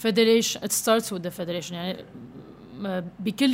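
Using a normal speaking voice, a woman talks at a medium pitch with fairly even intonation. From Lebanon. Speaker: professional basketball player. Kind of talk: casual interview.

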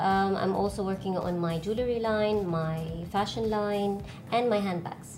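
A woman at medium pitch with fairly even intonation, very even loudness and a moderate pace, amid noticeable background noise and audible room echo. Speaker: artist and designer. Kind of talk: casual interview.

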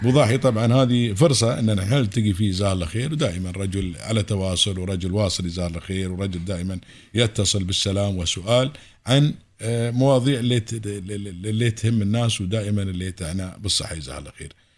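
On a very clean recording with a silent background, a man with an Emirati accent speaks at a fairly low pitch, at a moderate pace, with ordinary pitch variation. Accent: Emirati Gulf Arabic. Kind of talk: casual radio interview.

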